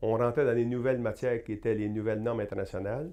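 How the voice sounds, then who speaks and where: The background is quiet as a man talks at a medium pitch. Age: 60s. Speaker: accounting professor and university administrator. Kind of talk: interview. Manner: hesitant, many fillers.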